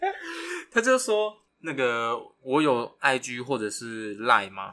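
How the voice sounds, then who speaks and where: His pitch shifts in an ordinary way. This man talks at a medium pitch. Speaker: podcast co-host, university student. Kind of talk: casual chat.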